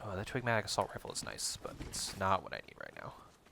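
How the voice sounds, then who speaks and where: A man's speech, neither rushed nor slow, is accompanied by background music. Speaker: gaming streamer. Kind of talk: live gameplay stream with chat. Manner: explanatory, educator-like.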